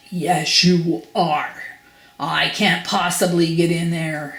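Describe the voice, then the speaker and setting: A put-on character voice growls at a middle pitch and a very slow pace, with audible echo. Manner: snapping, irritated.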